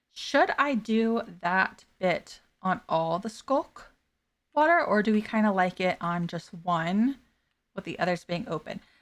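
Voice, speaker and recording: A woman is speaking. She has an American accent. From Florida. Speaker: streamer and voice actor. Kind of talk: casual live stream chat. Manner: filler-heavy, chatty.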